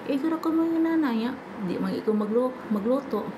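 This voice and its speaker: Audible room echo and noticeable background noise behind a moderate pace and ordinary pitch variation. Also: woman. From Visayas, Philippines. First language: Cebuano (speaking Tagalog). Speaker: vlogger, overseas domestic worker. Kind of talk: casual vlog chat. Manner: halting, stumbling speech.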